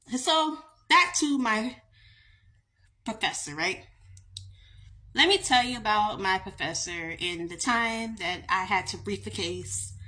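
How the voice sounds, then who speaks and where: A woman's fairly high voice, bright and sharp in tone, at a fairly slow pace with very wide pitch swings and long, frequent pauses. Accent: Southern US. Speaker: attorney. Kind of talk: casual storytime monologue.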